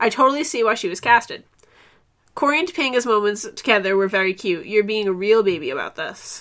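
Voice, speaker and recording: A woman with a plain, everyday voice speaks at a fairly quick pace, her fairly high pitch moving in lively intonation over a very clean recording with a silent background. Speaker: podcast host. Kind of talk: casual chat.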